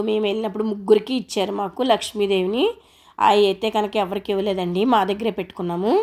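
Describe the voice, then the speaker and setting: A woman at a medium pitch speaks with monotone, flat intonation. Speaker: homemaker vlogger. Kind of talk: home tutorial vlog narration. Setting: at home, prayer room.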